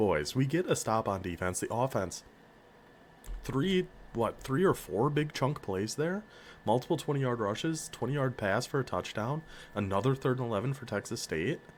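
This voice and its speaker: Medium in pitch and with vocal fry, a man with an American accent swings his pitch very widely. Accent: northern US accent, slips through. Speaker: video game streamer. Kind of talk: gameplay commentary. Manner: animated.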